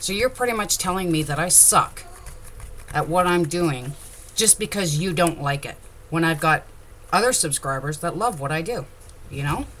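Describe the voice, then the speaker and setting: At a moderate pace with long, frequent pauses, a woman speaks in a fairly low pitch with lively intonation. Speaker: crafter. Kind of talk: tutorial. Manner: loud; animated.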